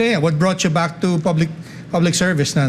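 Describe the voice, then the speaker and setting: Against noticeable background noise, a man talks at a very fast pace with a high pitch. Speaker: talk show host. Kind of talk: interview.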